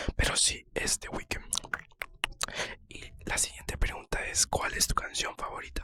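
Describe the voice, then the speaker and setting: A man is whispering. His pace is very slow. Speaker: ASMR creator. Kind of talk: ASMR whispered talk about himself. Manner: whispered.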